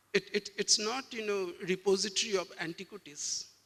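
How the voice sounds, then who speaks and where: In a Bengali accent, a man uses a raised, projected voice at a high pitch and a moderate pace. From West Bengal, eastern India. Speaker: museum director. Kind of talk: panel discussion. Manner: halting, frequent word repetitions.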